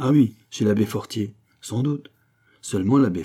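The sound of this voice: Pitch varies in an ordinary way in this unforced reading voice. Nothing much sounds in the background.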